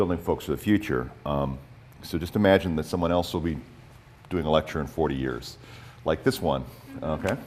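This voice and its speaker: A man speaks at a fairly quick pace with vocal fry and ordinary pitch variation. His speech has long, frequent pauses. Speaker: nonprofit president and public policy advocate. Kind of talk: conference presentation. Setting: conference in high school room with microphone. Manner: many fillers and repetitions.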